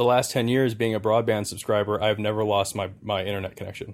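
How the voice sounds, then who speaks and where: A man at a fairly low pitch with monotone, flat intonation and a moderate pace, in a very clean recording with a silent background. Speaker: podcast host. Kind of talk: casual chat. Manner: joking, banter.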